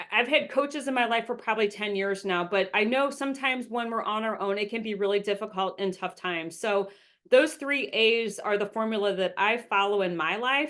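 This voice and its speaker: Against a quiet background, a woman talks at a fairly quick pace in a fairly high pitch with ordinary pitch variation. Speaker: business coach and speaker. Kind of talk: webinar presentation. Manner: fast.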